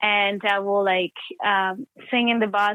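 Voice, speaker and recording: With an Ecuadorian accent, a woman speaks at a medium pitch with fairly even intonation. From Ecuador, Guayaquil. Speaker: actor and playwright. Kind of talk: interview.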